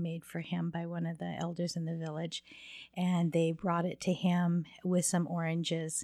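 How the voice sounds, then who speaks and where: In a very clean recording with a silent background, a woman's dark, mellow voice stays fairly low in pitch, monotone and flat, at a fairly slow pace. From Laguna Pueblo, raised in Southern California. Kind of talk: testimony. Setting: host's home.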